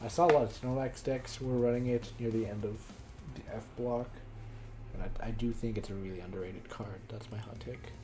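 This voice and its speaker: Over music in the background, a man talks at a fairly quick pace and medium pitch. His intonation is fairly even, and room echo is audible. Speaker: card game streamer. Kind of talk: live stream commentary. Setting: live stream. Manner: fast.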